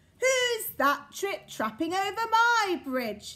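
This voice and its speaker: A woman bellows in a put-on character voice, raised and projected, pitched extremely high and delivered at a very slow pace. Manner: roaring.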